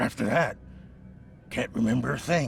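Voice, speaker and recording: A man's raspy, put-on character voice at medium pitch and moderate pace, with clear background noise. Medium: video game. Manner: defensive, agitated.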